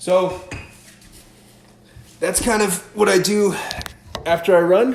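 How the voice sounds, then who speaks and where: A man speaks in an upbeat tone. Audible room echo and noticeable background noise accompany him. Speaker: stretching coach. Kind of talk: live fitness tutorial. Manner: casual, upbeat.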